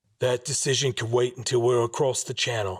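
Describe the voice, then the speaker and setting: Using a raspy, put-on character voice, a man speaks at medium pitch and a fairly quick pace in a monotone, flat intonation. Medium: read story.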